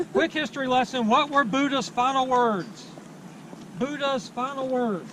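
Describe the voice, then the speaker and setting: At a fairly slow pace, a man speaks in an extremely high pitch with ordinary pitch variation over noticeable background noise. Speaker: street preacher. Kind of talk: loud outdoor street preaching to a campus crowd. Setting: outdoors on a university campus.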